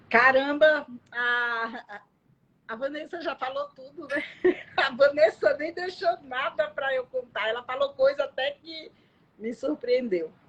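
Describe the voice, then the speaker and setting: A high-pitched woman's voice with a Bahian accent, very slow pace, ordinary pitch variation and big swings in loudness. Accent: Bahian accent, kept. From Bahia, Brazil. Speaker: social security lawyer. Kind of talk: live stream interview. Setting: Instagram live.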